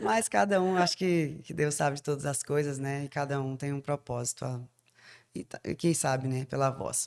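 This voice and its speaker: The woman's voice is very deep and low, with ordinary pitch variation at a moderate pace. The sound is dry and close with no echo, on a very clean recording with a silent background. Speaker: radio announcer. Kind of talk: casual chat.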